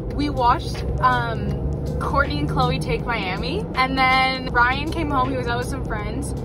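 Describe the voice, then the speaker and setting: A woman at a fairly slow pace, dry sound with no echo, clear music in the background. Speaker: vlogger. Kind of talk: casual vlog chat. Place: car. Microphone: phone near.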